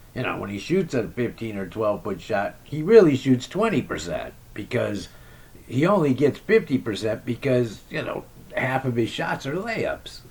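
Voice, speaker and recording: Noticeable background noise sits behind a man whose pitch swings very widely at a moderate pace. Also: medium pitch for a man. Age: 60s. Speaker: basketball vlogger and amateur shooter. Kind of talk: casual monologue recap. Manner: rambling with frequent fillers and repetitions.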